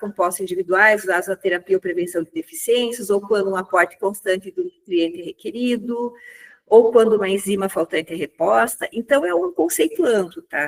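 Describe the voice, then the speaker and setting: A woman with a normal speaking voice talks at a moderate pace and a medium pitch. Her intonation is lively. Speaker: pain physician. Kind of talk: lecture.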